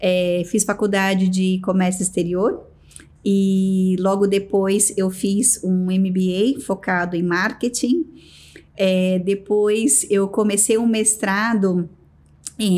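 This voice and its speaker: Delivered at a very slow pace, the speech keeps fairly even intonation and very even loudness. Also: woman, medium pitch for a woman. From Brazil, São Paulo state (Americana). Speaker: business executive. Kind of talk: interview.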